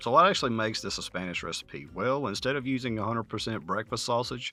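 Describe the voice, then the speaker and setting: With a Southern US accent, a man talks at a very fast pace. His voice has a medium pitch and a bright, sharp tone. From US Southeast. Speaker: cooking channel host. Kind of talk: cooking tutorial narration. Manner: casual.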